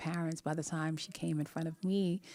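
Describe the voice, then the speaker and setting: On a very clean recording with a silent background, a woman talks at a moderate pace in a fairly low pitch with a dark, mellow tone and fairly even intonation. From Jamaica. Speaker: relationship coach and vocal teacher. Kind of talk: live-stream talk to viewers. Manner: casual, conversational.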